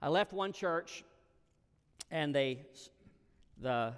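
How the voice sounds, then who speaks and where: A man talks at a moderate pace with a Southern US accent. His intonation is lively. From US South, Alabama. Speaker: guest preacher. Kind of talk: sermon.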